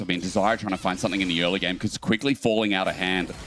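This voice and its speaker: A man with an Australian accent, very deep and low in pitch, at a very fast pace. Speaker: esports caster. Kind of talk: live commentary. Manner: animated.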